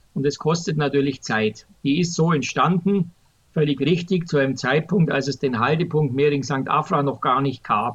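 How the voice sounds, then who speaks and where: A somewhat breathy voice at very even loudness, with ordinary pitch variation. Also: man, fairly high pitch for a man, moderate pace. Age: 60s. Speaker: public transport expert, retired transit executive. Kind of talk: podcast interview. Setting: remote recording.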